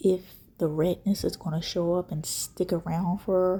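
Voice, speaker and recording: A woman speaks with a dark, mellow tone, a somewhat breathy quality and a fairly low pitch. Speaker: skincare video creator. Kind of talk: casual talk to camera. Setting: indoors at home, quiet room. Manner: whispered, soft-spoken.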